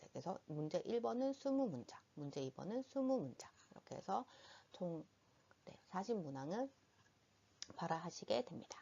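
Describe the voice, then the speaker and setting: In a Busan accent, a woman speaks at a moderate pace and medium pitch, her voice shaky with a nervous tone. Her pitch swings very widely, broken by long, frequent pauses. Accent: Busan dialect (Gyeongsang). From Busan, South Korea. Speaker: medical interpreting instructor. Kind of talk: educational presentation narration. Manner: slightly nervous, trembling.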